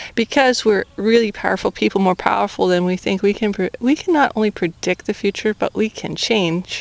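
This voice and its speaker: The sound is dry and close with no echo as a woman speaks at medium pitch. Her pitch variation is ordinary, with hardly any pauses. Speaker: spiritual vlogger. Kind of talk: casual vlog monologue. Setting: outdoors. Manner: fast.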